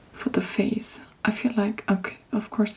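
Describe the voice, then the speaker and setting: The voice is soft-spoken and moves at a fairly slow pace. Noticeable background noise is present. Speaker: polymer clay hobbyist / ASMR creator. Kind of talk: ASMR show and tell, casual talk to camera.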